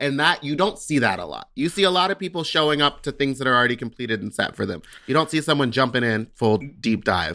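In a very clean recording with a silent background, a man with an American accent talks at a very fast pace in a bright, sharp tone with vocal fry and very wide pitch swings. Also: medium pitch for a man. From Texas. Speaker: drag queen podcast co-host. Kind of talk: casual chat.

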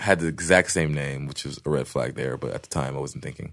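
Against a quiet background, a man with a very deep, low pitch and vocal fry speaks with ordinary pitch variation. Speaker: adult film performer. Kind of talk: casual interview chat. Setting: studio.

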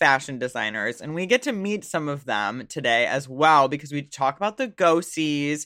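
The speaker keeps a moderate pace with hardly any pauses on a very clean recording with a silent background. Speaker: podcast co-host. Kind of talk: casual chat.

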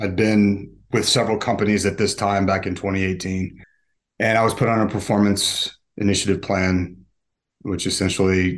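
This is a man with a plain, everyday voice. He talks at a moderate pace with a fairly low pitch. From US South (Atlanta, Georgia) and Utah. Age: 40s. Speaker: recovering alcoholic. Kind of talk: interview testimony.

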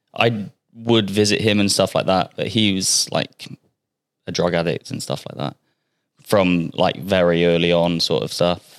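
Speaking at a fairly slow pace, a man with a West Country accent has a very deep, low pitch. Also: ordinary pitch variation. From Bristol, England. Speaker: personal trainer. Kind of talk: casual chat.

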